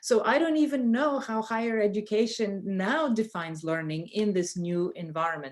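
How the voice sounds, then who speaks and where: Her voice fairly high, a woman speaks with a Bulgarian accent and lively intonation. She keeps a moderate pace. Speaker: professor. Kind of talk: panel discussion. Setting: video call. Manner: halting.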